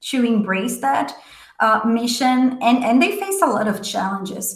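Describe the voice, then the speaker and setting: Somewhat breathy, the speech unfolds at a moderate pace. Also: woman. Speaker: leadership coach. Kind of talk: motivational talk. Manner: halting, many fillers.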